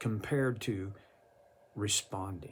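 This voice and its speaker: The speech comes at a very slow tempo. There is some breathiness in the voice. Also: man. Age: 70s. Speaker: Bible teacher. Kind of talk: devotional Bible teaching. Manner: halting.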